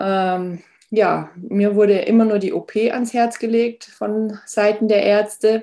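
Very slowly, a woman speaks in a dark, mellow tone with monotone, flat intonation. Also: fairly high pitch for a woman. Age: 40s. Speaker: author and lipedema patient. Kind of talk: casual interview.

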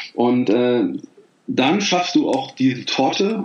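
Over noticeable background noise, a man speaks with lively intonation and a fairly high pitch. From Rhineland, Germany (Bergisch Gladbach near Cologne). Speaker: life and career coach, author. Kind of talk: casual interview. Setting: Skype call.

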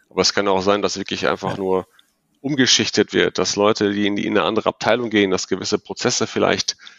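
A man rattles along at a very fast pace with a fairly low pitch and fairly even intonation. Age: 40s. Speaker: ERP consultant. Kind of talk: podcast interview. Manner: hesitant, many fillers.

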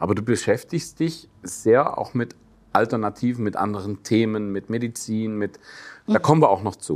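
Here a man speaks with a Swabian accent at a moderate pace. His pitch is fairly low, with ordinary variation. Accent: Swabian dialect slipping into speech. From Swabia, Germany. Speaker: actor and talk show host. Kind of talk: casual interview.

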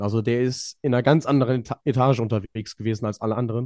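Here a man speaks at a fairly quick pace in a dark, mellow tone. The recording is very clean with a silent background and a dry, close sound with no echo. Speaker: ski jumping podcast co-host. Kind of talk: casual chat.

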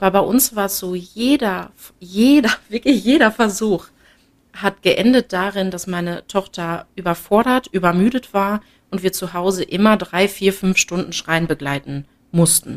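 On a very clean recording with a silent background, a woman speaks in a plain, everyday voice at medium pitch, with ordinary pitch variation and a fairly slow pace. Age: 20s. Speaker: mother sharing experience. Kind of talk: interview.

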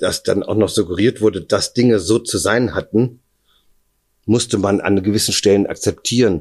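An unremarkable speaking voice belongs to this man, who moves at a moderate pace with ordinary pitch variation. The background is quiet. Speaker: kidnapping survivor. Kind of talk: interview testimony. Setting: at his home.

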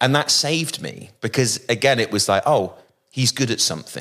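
A man talks at a moderate pace in a southern English accent. His pitch sits at a medium level and swings very widely. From West Country, Bristol. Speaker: rock musician. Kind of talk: casual interview conversation.

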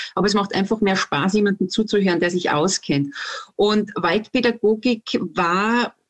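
Here is a woman with a normal speaking voice at medium pitch, using ordinary pitch variation. She keeps a moderate pace and very even loudness, and the sound is dry and close with no echo. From Austria, Salzburg. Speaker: herbalist and forest educator. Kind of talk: interview.

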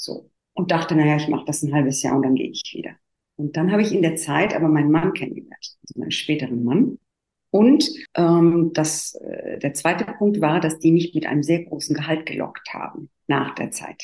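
A woman's dark, mellow voice at a moderate pace. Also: fairly low pitch for a woman, ordinary pitch variation. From Italy. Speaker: therapist and coach. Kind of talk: interview.

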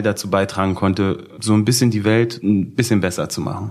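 A man's fairly low voice keeps a moderate pace as music plays in the background. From Berlin (Schöneberg). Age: 20s. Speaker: blind date participant. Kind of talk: casual chat.

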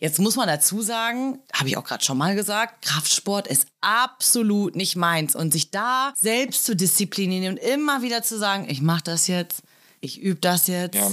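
In a very clean recording with a silent background, a woman with a medium pitch and a normal speaking voice talks at a moderate pace with lively intonation. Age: 30s. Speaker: police officer trainee. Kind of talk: casual chat.

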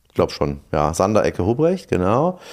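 The recording is very clean and the background silent. The speaker is a man. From eastern Germany. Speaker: sommelier and restaurateur. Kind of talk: casual chat.

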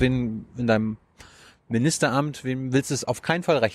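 A man uses an ordinary speaking voice with fairly even intonation. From Mecklenburg-Vorpommern. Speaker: journalist interviewer. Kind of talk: interview. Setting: outdoors on a rooftop.

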